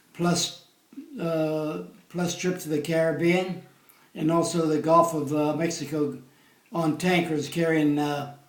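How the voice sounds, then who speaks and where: Noticeable background noise behind a man's high-pitched, monotone, flat delivery at a fairly slow pace. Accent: American. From Pennsylvania. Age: 80s+. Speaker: war veteran. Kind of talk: interview answer.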